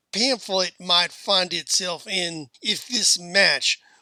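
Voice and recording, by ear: The speaker reads aloud in a natural voice.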